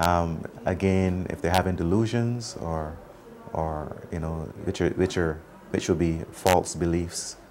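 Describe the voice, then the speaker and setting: With noticeable background noise behind him, a man talks at a very slow pace in a very deep, low pitch. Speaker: medical professional. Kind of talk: interview answer. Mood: calm, explanatory. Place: home room.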